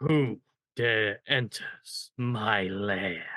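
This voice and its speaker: A man puts on a character voice. It is raspy and sits at a medium pitch. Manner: booming, menacing.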